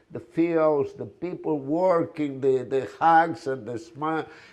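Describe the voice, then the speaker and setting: A man with a Spanish accent and a fairly high pitch speaks at a fairly slow pace with ordinary pitch variation. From Spain, Galicia. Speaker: restaurant owner. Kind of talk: presentation. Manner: hesitant.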